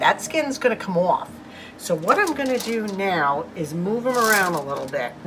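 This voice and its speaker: Loud and with very wide pitch swings, a woman of medium pitch speaks at a moderate pace over noticeable background noise. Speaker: lifestyle vlogger. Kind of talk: cooking tutorial. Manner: warm, friendly.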